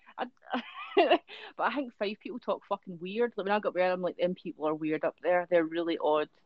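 The speaker has a strong Dundee accent. The pace is fairly quick. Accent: strong Dundonian Scottish. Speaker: podcast host. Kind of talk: casual chat. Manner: animated.

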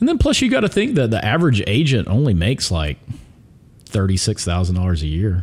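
A man with an American accent talks at a fairly quick pace in a fairly low, somewhat breathy voice, with lively intonation, very even loudness and long, frequent pauses. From Alabama, US South (Pelham, near Birmingham). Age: 40s. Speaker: real estate agent. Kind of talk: casual chat.

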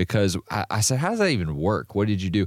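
This is a normal speaking voice from a man with a fairly low pitch. His intonation is lively. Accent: American. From northern US. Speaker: podcast co-host at a trucking company. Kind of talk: casual chat.

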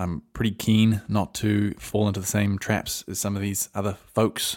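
The recording is very clean with a silent background, capturing a man who speaks with an Australian accent. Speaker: podcast host. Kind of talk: solo commentary podcast. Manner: casual, rambling, conversational.

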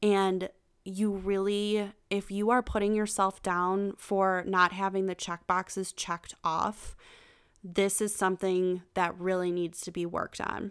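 At a fairly slow pace, the speaker talks in an animated tone with a Western New York accent on a very clean recording with a silent background. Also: woman, medium pitch for a woman. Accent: Western New York (Inland North) American. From US, Buffalo, New York. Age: 20s. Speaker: podcast host, life coach. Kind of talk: motivational monologue. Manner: animated, laughing often.

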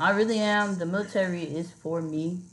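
Audible room echo surrounds the voice. The speech comes with an American accent. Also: woman. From Miami, Florida. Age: 30s. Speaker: Coast Guard officer. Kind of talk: casual interview. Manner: animated.

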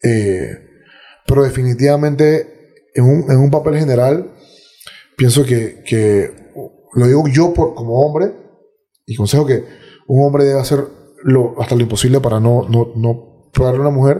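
The man's voice is somewhat breathy, with a dark, mellow tone. He talks at a fairly slow pace, leaving long, frequent pauses. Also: medium pitch for a man, ordinary pitch variation. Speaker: podcaster and martial arts fighter. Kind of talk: casual interview conversation.

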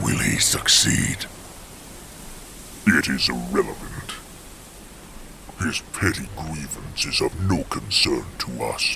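In a cartoonish character voice, a man speaks slowly at an extremely low pitch with vocal fry, a bright, sharp tone, lively intonation and long, frequent pauses over faint background noise.

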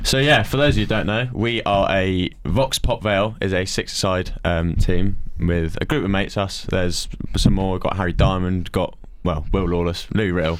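Noticeable background noise accompanies a man with a very deep, low pitch. He talks at a moderate pace with ordinary pitch variation. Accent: southern English. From Farnham, Surrey, southern England. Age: 19. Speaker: podcast host, university student. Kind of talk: casual chat.

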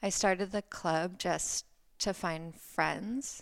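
A woman speaks with an American accent. Her pitch is fairly low, with ordinary pitch variation. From US Midwest, rural Ohio. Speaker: small business founder. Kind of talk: casual chat.

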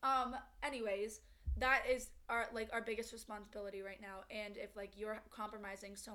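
A woman talks in a monotone, flat intonation against noticeable background noise. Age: 20s. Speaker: podcast co-host. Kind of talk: casual chat.

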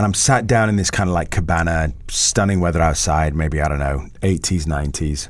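The speaker has an English accent and a moderate pace. Pitch varies in an ordinary way, and there is audible room echo. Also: man, very deep, low pitch for a man. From England, Italian background. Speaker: school founder and former actor. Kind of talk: casual interview chat.

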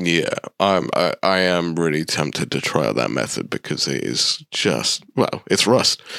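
A man with a British accent, very deep and low in pitch, with vocal fry, at a fairly slow pace, in a dry, close sound with no echo. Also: lively intonation, hardly any pauses. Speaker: podcast co-host. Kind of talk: casual chat. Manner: playful.

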